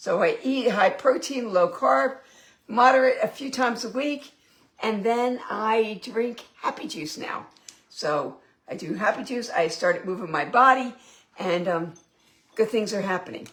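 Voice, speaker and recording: A woman with a plain, everyday voice speaks at a fairly slow pace, her fairly high pitch moving in lively intonation. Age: 60s. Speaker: home cooking vlogger. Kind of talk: casual cooking livestream.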